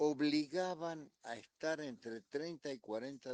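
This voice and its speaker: A man speaks at a very slow pace with ordinary pitch variation, the sound dry and close with no echo. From Argentina (Buenos Aires), born in Montevideo. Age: 80s+. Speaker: sports journalist. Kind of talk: interview storytelling.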